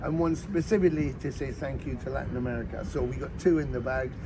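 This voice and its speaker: Over noticeable background noise, a man with a fairly high pitch talks at a fairly quick pace in an animated tone with ordinary pitch variation. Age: 60s. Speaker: rock bassist and singer. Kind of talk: interview. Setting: outdoors. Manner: animated, with hesitations and repetitions.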